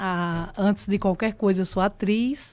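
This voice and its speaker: In a very clean recording with a silent background, a woman speaks at a medium pitch with ordinary pitch variation. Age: 60s. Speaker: actress. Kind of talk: interview testimony.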